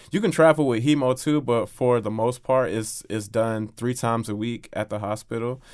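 On a very clean recording with a silent background, a man speaks at a moderate pace and a medium pitch. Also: ordinary pitch variation, hardly any pauses. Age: 30s. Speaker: kidney transplant recipient and patient advocate. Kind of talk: interview, personal story. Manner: halting, many repeated words.

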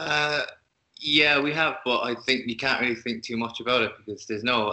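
A man's voice at medium pitch, moderate pace and ordinary pitch variation. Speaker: musician in a band. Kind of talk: interview.

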